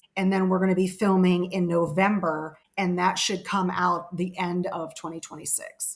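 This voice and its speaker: At a moderate pace and medium pitch, a woman with an American accent talks in a monotone, flat intonation. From West Virginia. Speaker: paranormal investigator, documentary storyteller. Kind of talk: interview answer.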